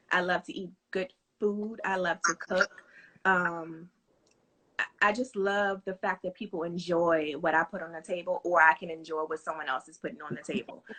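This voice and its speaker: Her voice sits at a medium pitch. The woman's pitch varies in an ordinary way. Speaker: home cook and small business owner. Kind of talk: casual interview. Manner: fast.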